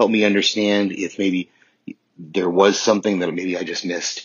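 In an ordinary speaking voice, a man talks fairly briskly, his intonation staying mostly level. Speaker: listener leaving voicemail. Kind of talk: voicemail feedback. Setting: phone voicemail.

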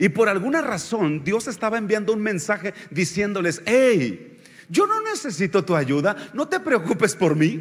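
Over noticeable background noise, a man talks fairly slowly but with hardly any pauses, in a high pitch with an animated tone and lively intonation. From Mexico, Oaxaca highlands. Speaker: visiting pastor. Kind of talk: sermon. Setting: church.

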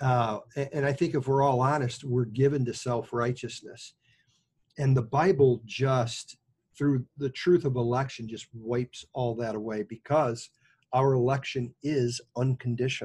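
Speaking with an American accent at a fairly slow pace, a man's medium-pitched voice is somewhat breathy, with fairly even intonation. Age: 60s. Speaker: pastor, podcast co-host. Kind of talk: casual chat between co-pastors, doctrine and football.

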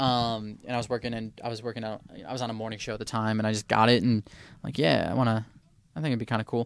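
A man with an American accent, very fast, at medium pitch with fairly even intonation. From Detroit, Michigan. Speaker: radio DJ. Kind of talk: casual interview chat. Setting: studio. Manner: casual, filler-heavy.

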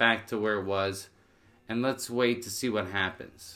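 An ordinary speaking voice from a man with a Canadian accent, medium in pitch, with fairly even intonation. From Niagara, Ontario, Canada. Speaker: barber and business owner. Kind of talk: casual chat.

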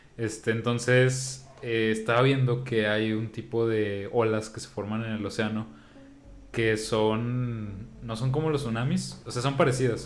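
A man with a Mexican accent speaks at a medium pitch with fairly even intonation. Audible room echo surrounds his voice. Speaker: podcast co-host. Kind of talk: casual chat.

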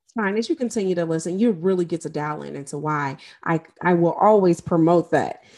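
In an American accent and an ordinary speaking voice, a woman with a fairly low pitch and ordinary pitch variation talks fairly quickly, her loudness swinging widely against a quiet background. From US Midwest (St. Louis, Missouri). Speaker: life and trauma coach, podcast host. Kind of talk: solo podcast monologue.

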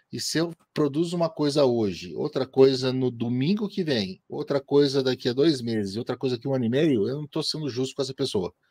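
A man with a plain, everyday voice talks at a moderate pace in a medium pitch with lively intonation, on a very clean recording with a silent background and a dry, close sound with no echo. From Brazil, interior of Paraná. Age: 40s. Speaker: motorsport podcaster and columnist. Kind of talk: interview.

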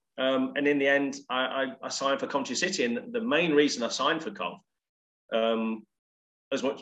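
A plain, everyday voice from a man, medium in pitch with ordinary pitch variation at a moderate pace. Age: 40s. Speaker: former professional footballer. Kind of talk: casual chat. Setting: remote call from home office.

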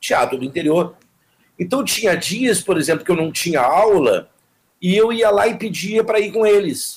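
A man's high voice moves at a moderate pace with lively intonation and very even loudness. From southern Brazil (Jaguarão, Rio Grande do Sul, Uruguay border). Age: 60s. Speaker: actor and theatre teacher. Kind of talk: interview.

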